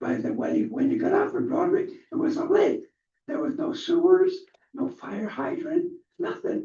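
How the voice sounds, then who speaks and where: In an American accent, a man with an extremely high pitch and a dark, mellow tone speaks at a moderate pace amid audible room echo. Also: ordinary pitch variation. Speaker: pastor. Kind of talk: public comment at city council. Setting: city council meeting. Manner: halting.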